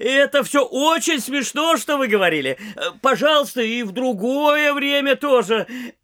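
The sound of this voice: A man's put-on character voice, extremely high-pitched, bright and sharp in tone, with lively intonation at a moderate pace.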